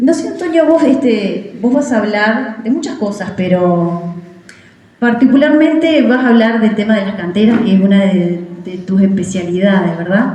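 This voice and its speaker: With a Uruguayan accent, a woman speaks at a fairly high pitch and with lively intonation, over noticeable background noise and audible room echo. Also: moderate pace. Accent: Uruguayan Rioplatense Spanish. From Uruguay, Florida department (Villa 25 de Mayo). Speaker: teacher giving a local history talk. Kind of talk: public talk. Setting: community event with audience. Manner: conversational with many fillers.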